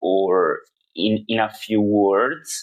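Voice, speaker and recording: A man speaks with a non-native accent. His pitch sits fairly low. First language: not English. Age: 30s. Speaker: video blogger. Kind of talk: personal monologue. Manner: halting.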